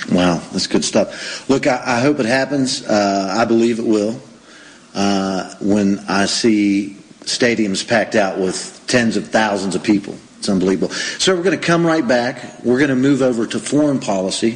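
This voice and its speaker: With noticeable background noise, a man with an American accent speaks at a medium pitch and a moderate pace, using ordinary pitch variation. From United States. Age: 40s. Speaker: radio host. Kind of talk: interview.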